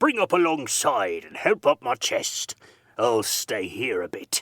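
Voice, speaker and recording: A man's raspy, put-on character voice at a fairly slow pace, with big swings in loudness. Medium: read story. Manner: rough, coarse, fierce.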